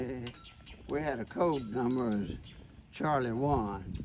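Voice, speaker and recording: Noticeable background noise beneath a man's speech with ordinary pitch variation. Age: 80s+. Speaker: World War II veteran. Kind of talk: interview answer.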